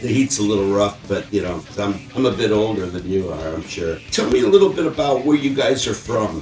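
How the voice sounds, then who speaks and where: Over background music, a man talks at a fairly quick pace. His fairly low voice has lively intonation. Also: hardly any pauses. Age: 60s. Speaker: rock interview show host. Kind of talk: casual interview.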